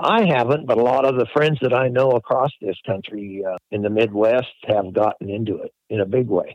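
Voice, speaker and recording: Here is a man with an ordinary speaking voice, medium pitch and ordinary pitch variation. He keeps a moderate pace with hardly any pauses. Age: 60s. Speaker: crop duster pilot, business owner. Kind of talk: interview.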